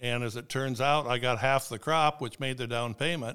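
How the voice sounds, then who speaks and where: In a Midwestern US accent, a man speaks at a moderate pace with a bright, sharp tone and fairly even intonation. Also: very clean recording, silent background. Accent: rural Midwestern American. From Indiana, Steuben County. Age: 70s. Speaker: farmer. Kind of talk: casual interview. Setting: in person, at the farm office.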